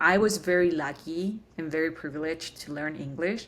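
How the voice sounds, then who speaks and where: A woman talks at a moderate pace with a fairly low pitch. She speaks with a Spanish accent. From Chile, Santiago. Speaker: tech program manager. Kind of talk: interview.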